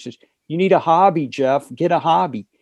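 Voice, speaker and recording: Over a quiet background, a man with an American accent talks in a dark, mellow tone with lively intonation. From North Carolina. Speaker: guitarist and author. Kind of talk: interview. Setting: phone call.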